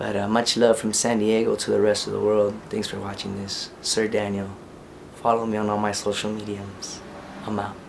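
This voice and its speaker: Speaking at a moderate pace in a fairly low pitch, a man keeps a monotone, flat intonation amid noticeable background noise and audible room echo. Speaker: independent rap artist. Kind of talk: casual vlog monologue.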